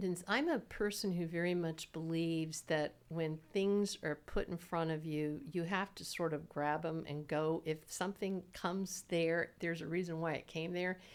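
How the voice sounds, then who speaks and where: A woman speaks in a normal speaking voice at a fairly low pitch and moderate pace. The recording is very clean with a silent background. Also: hardly any pauses. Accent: American. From Southwest Florida, Naples. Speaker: mediator and lawyer. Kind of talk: interview.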